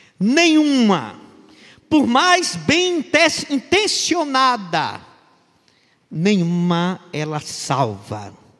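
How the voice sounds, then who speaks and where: A man speaks at a high pitch and a very slow pace, with very wide pitch swings and long, frequent pauses. Audible room echo surrounds his voice. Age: 60s. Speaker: pastor. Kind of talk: sermon.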